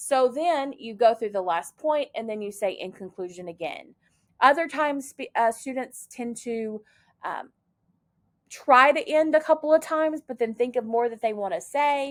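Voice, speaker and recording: High-pitched female speech with big swings in loudness, on a very clean recording with a silent background. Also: lively intonation. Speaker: college public speaking instructor. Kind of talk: recorded lecture. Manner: fast.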